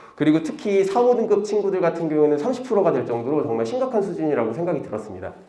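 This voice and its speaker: Over noticeable background noise and audible room echo, a man talks very fast in a high pitch with very wide pitch swings and hardly any pauses. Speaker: PE teacher. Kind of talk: conference presentation. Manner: casual, conversational.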